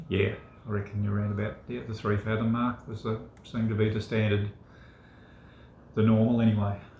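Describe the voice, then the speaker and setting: With an Australian accent, a man speaks at a fairly quick pace in a fairly low pitch, his intonation monotone and flat, broken by long, frequent pauses. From Australia, Victoria. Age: 60s. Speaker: former fisherman. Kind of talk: casual chat. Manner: halting, many fillers.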